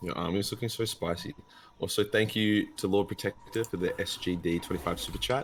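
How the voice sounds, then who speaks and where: A man talks at a very fast pace in an Australian accent. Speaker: gaming youtuber. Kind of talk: casual chat. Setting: live stream.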